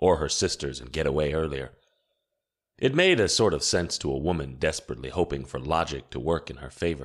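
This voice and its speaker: Very deep and low, a man's voice shows vocal fry and ordinary pitch variation at a fairly quick pace. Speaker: audiobook narrator. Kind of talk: audiobook narration.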